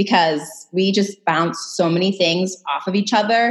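Speaking at a moderate pace with an American accent, a woman has an unremarkable speaking voice at a medium pitch. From Massachusetts, US. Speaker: interior designer, former psychologist. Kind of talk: casual interview chat.

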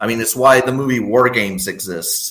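Moderate in pace and medium in pitch, this man uses a normal speaking voice. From Texas. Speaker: podcast guest, longtime patron. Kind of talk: casual chat.

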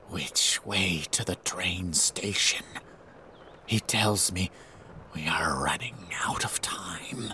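Very slow and raspy, a man's put-on character voice sits at a very deep, low pitch. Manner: creeping, menacing.

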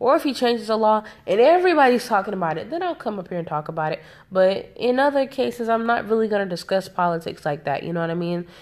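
In an American accent, a woman speaks very fast at a fairly high pitch with very wide pitch swings. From South Carolina, US South. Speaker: podcaster. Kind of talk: casual monologue. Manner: casual with many fillers.

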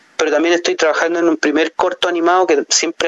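A man speaks over noticeable background noise. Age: 40s. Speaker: film director. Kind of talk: interview. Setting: phone call. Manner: halting.

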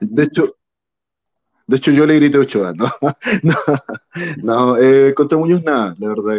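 With a Chilean accent, a man speaks using ordinary pitch variation. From southern Chile (Río Bueno). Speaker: football fan. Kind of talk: casual chat.

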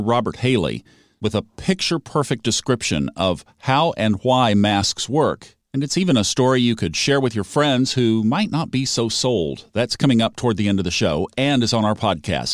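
In a very clean recording with a silent background and a dry, close sound with no echo, a man with an unremarkable speaking voice talks at medium pitch and a moderate pace, with lively intonation, very even loudness and hardly any pauses. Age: 60s. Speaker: radio co-host. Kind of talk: radio interview.

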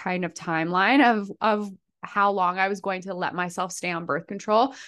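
A woman speaks in a normal speaking voice at medium pitch and a moderate pace against a quiet background. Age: 30s. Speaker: personal trainer and nutrition practitioner. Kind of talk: casual interview chat.

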